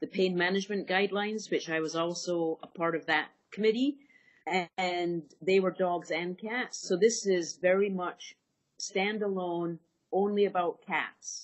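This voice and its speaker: A woman's medium-pitched voice in a Scottish accent, fairly slow in pace, with fairly even intonation. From Scotland. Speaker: veterinary anesthesiologist. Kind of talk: interview.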